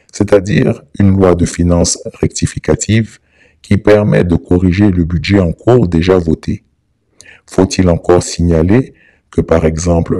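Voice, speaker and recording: Very deep and low, a man's dark, mellow voice moves at a fairly slow pace with ordinary pitch variation. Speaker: political commentator. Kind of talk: scripted narration. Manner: formal.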